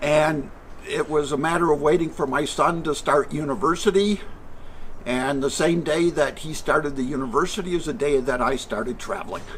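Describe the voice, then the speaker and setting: A man with an American accent talks at a moderate pace in a fairly high voice, with noticeable background noise. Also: ordinary pitch variation. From Michigan, US Midwest. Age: 70s. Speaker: retired traveler. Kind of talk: interview.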